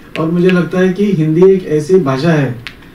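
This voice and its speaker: Audible room echo and noticeable background noise surround a man's voice. He speaks at a fairly high pitch with fairly even intonation. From Goa. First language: Konkani (speaking Marathi). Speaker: speaker at event. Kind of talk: speech.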